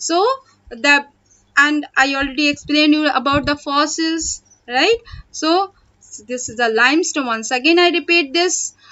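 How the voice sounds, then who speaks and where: A loud woman speaks at a moderate pace with a high pitch and ordinary pitch variation. Her speech has long, frequent pauses. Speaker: school teacher. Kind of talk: online class lecture. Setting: online video class.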